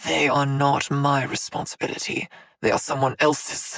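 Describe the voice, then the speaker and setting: A man's hissing, put-on character voice with a fairly high pitch at a moderate pace, dry and close with no echo. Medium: read story. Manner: unfazed, sneering, formal.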